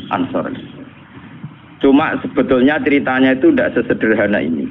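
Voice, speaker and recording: With a Javanese accent, a man talks at a moderate pace over noticeable background noise. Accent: Javanese-accented Indonesian. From Rembang, Central Java, Indonesia. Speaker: Islamic cleric and Quran exegete. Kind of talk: religious sermon.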